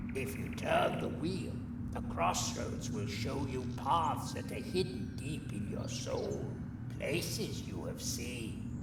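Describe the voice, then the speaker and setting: A man uses a put-on character voice at a fairly slow pace. There is loud background noise and a slight echo. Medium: game stream. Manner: chatty, wry, self-deprecating.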